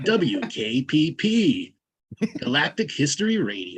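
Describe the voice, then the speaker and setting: Using a put-on character voice, a man speaks at a high pitch. His pace is fairly slow. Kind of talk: announcer.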